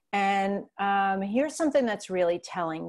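A woman's medium-pitched, an ordinary speaking voice with an American accent and lively intonation, in a very clean recording with a silent background. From New York. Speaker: life coach. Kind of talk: personal testimony in interview.

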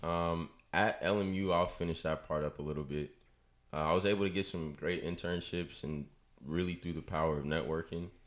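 A man with a very deep, low voice speaks at a moderate pace with fairly even intonation. The recording is very clean, with a silent background. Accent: American. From US West Coast, Bay Area (Richmond, California). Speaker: sports broadcasting assistant. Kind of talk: casual interview chat. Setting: studio.

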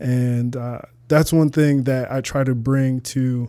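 A man with a US Midwestern accent talks at a very slow pace in a medium pitch, his tone dark and mellow. His intonation stays fairly even, and the recording is very clean with a silent background. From Toledo, Ohio, US Midwest. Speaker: fitness trainer and model. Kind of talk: podcast interview.

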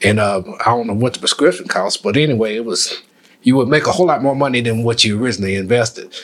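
A man at a medium pitch, very fast, with ordinary pitch variation and noticeable background noise. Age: 60s. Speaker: retired postmaster and navy veteran. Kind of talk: casual chat.

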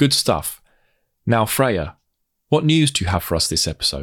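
A man with a British accent speaks with vocal fry and very wide pitch swings. The recording is very clean, with a silent background. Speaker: trade magazine editor and podcast host. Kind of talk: podcast hosting and interviewing.

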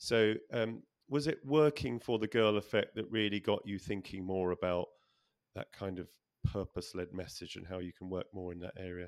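A man's fairly low-pitched, an ordinary speaking voice, with ordinary pitch variation, big swings in loudness and a moderate pace in a very clean recording with a silent background. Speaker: podcast host. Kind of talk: interview.

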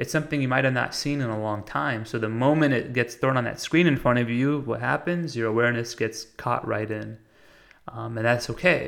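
On a very clean recording with a silent background, a man in an unremarkable speaking voice talks at a fairly quick pace, his medium pitch showing ordinary variation. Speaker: podcast host. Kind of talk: monologue about meditation. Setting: recorded while traveling in Italy. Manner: reflective, conversational, with filler words.

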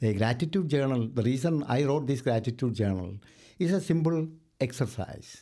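In a very clean recording with a silent background, a man with an Indian accent speaks at a moderate pace in a dark, mellow tone with lively intonation. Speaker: mortgage lender and author. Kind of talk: interview. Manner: formal.

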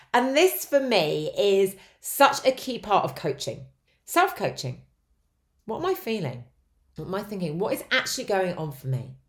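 A woman speaks at a moderate pace in a medium pitch, with very wide pitch swings and vocal fry. Her long, frequent pauses sit in a very clean recording with a silent background. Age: 40s. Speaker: life coach and podcast host. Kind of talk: solo podcast monologue on self-help. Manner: conversational.

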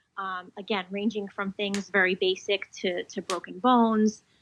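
Set against a quiet background, a normal speaking voice with an American accent shows ordinary pitch variation. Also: woman. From New Jersey. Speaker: physician assistant and PA faculty. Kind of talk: interview.

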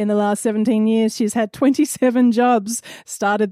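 Her dark, mellow tone and fairly high pitch come through a very clean recording with a silent background and a dry, close sound lacking echo, as the woman speaks at a moderate pace with fairly even intonation. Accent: Australian. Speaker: comedy debate host and adjudicator.

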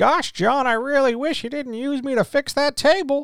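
In a whiny, put-on character voice, a man talks at a moderate pace with an extremely high pitch. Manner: goofy, whiny.

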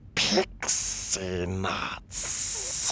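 A hissing, put-on character voice comes through over clear background noise.

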